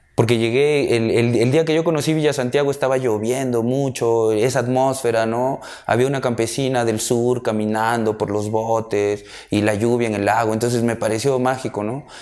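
The man holds a medium pitch and fairly even intonation, talking at a moderate pace. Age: 30s. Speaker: documentary photographer. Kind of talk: personal interview monologue. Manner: halting, many fillers.

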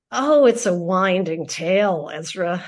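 A woman with an American accent speaks in a normal speaking voice at medium pitch. Her intonation is lively, and the background is quiet. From Philadelphia, US. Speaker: public radio host. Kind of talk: interview.

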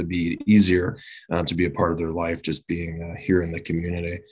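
A man with a very deep, low pitch speaks at a fairly quick pace in an Upper Midwest accent. The recording is very clean, with a silent background. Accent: Upper Midwest (Minnesota). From southeastern Minnesota (Winona). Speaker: police chief. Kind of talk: podcast interview.

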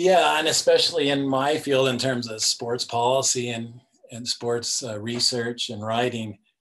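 A man with a General American accent has a plain, everyday voice. He speaks at a fairly slow pace and medium pitch, with ordinary pitch variation. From US West, Denver, Colorado. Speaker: sports policy director and author. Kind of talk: casual interview.

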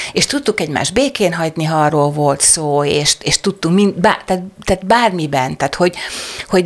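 Noticeable background noise accompanies a woman. She talks at a moderate pace with a fairly low pitch. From southern Hungary, Szeged area. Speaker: writer and screenwriter. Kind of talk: interview conversation.

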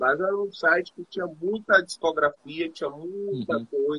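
In a raised, projected voice, a man speaks at a high pitch with a bright, sharp tone and a dry, close sound with no echo. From Bahia, Brazil. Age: 20s. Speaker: rapper. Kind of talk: interview. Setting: remote call.

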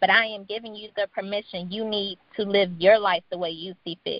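A woman talks at a fairly quick pace with fairly even intonation and medium pitch. She has an ordinary speaking voice. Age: 20s. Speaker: web designer and entrepreneur. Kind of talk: casual interview chat.

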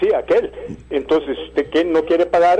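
The man talks at a fairly quick pace. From Costa Rica, Heredia. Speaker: caller. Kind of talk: phone-in opinion.

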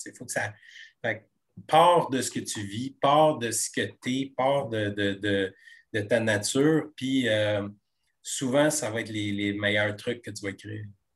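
A man with a Quebec accent speaks at a very slow pace, with big swings in loudness. His pitch is medium with ordinary variation, against a quiet background. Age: 40s. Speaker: TV comedy screenwriter. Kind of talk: interview conversation.

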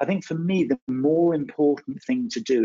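Speaking with a slight West Country accent, a man uses lively intonation. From West Country, England. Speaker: marketing trainer. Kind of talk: webinar lecture. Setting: webinar.

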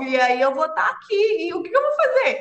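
A woman is speaking. Her pace is moderate. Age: 20s. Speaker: project management professional.

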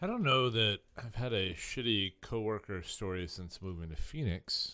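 A man speaks in an ordinary speaking voice with an American accent. His delivery is fairly slow, with lively intonation. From Indiana. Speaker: beer sales worker. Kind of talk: casual chat.

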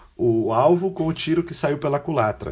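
A man talks with lively intonation. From São Paulo state, Brazil (Guarulhos), then Londrina. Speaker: international volunteer, law graduate. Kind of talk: interview conversation.

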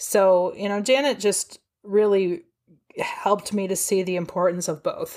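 In a Midwestern US accent, a woman speaks at a fairly slow pace. Her pitch is medium, with ordinary variation. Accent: US Midwest. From Ohio, US. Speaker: trauma therapist and author. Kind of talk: interview.

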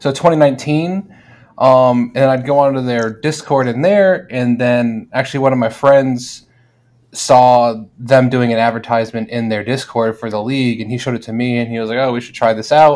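A man with an American accent in a normal speaking voice, medium pitch, fairly even intonation and a moderate pace, on a very clean recording with a silent background. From South Florida. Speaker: online sports league manager. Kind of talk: casual chat.

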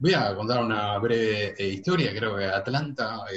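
A man speaks moderately fast in an unremarkable speaking voice. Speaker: sports journalist. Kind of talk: casual chat.

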